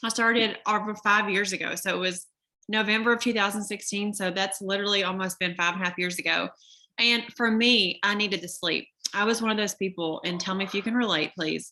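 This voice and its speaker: A woman speaks with a Southern US accent at a fairly quick pace. Her tone is bright and sharp. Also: medium pitch for a woman. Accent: noticeable Southern. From Kentucky. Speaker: network marketer. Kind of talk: sales pitch. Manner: animated.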